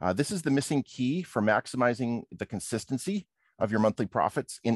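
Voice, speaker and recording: Heard against a quiet background, a man of medium pitch with an American accent speaks at a moderate pace, the sound dry and close with no echo. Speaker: professional trader and trading coach. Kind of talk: online conference presentation. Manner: hesitant with many fillers.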